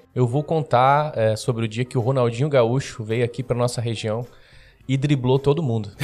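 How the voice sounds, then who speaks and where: At a moderate pace and medium pitch, a man uses an unremarkable speaking voice with fairly even intonation. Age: 20s. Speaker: newspaper editor and journalist. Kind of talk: casual interview chat and storytelling.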